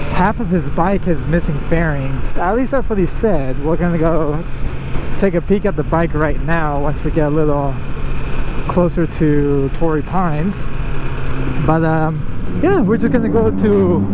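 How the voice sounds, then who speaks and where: Lively intonation from a woman at a fairly low pitch and moderate pace, in a dry sound with no echo and noticeable background noise. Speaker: motorcycle vlogger. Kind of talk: casual vlog chat. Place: motorbike.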